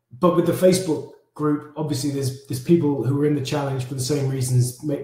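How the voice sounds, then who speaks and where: Fairly quick and somewhat breathy, this man's voice has a dark, mellow tone. He keeps the pace up throughout. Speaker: fitness challenge coach. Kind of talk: live stream briefing. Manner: casual, halting.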